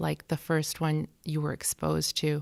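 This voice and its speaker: A woman with a very deep, low voice speaks at a fairly slow pace. The recording is very clean with a silent background and sounds dry and close with no echo. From Argentina and US, back and forth. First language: Spanish. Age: 40s. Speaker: poet. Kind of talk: interview conversation.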